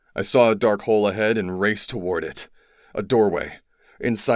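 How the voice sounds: A natural reading voice keeps its intonation fairly even.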